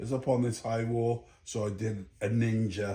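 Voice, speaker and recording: A man speaks at a fairly slow pace in a medium-pitched voice. The voice is somewhat breathy. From Jamaica (St Ann) to age 8, then Bristol, England. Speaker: podcast host telling his life story. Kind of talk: casual interview chat.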